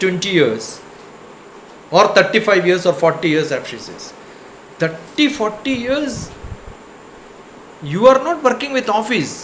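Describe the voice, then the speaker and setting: The speech has lively intonation at a fairly slow pace, against noticeable background noise. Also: man. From India, Kerala. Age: 60s. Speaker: spiritual speaker, retired scientist. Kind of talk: satsang talk. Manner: conversational, rhetorical questions.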